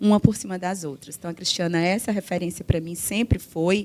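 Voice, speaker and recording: Medium pitch from a woman, varying in an ordinary way. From Brazil, Ceará. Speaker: law professor, panelist. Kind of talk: conference panel talk.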